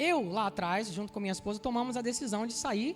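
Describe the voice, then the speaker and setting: A woman talks at a fairly quick pace with lively intonation. Music plays in the background. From Salvador, Bahia, now Rio.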